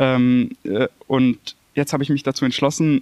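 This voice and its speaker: The sound is dry and close with no echo. A man speaks with flat, monotone intonation. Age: 20s. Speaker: former bullying victim. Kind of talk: testimony. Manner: halting.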